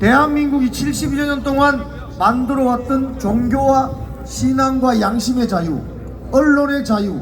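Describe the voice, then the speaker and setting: Animated, fairly slow delivery over noticeable background noise. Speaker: political rally speaker. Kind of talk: political rally speech.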